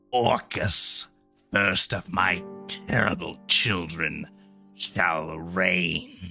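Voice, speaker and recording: A man's growling put-on character voice, very deep and low, at a very slow pace over faint music in the background. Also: ordinary pitch variation. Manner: ominous.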